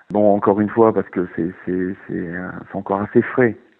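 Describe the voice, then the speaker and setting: At a moderate pace, a man speaks in a fairly low pitch with lively intonation. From northern France (Nord-Pas-de-Calais). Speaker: wildlife photographer. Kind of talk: interview. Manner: halting, many repetitions and fillers.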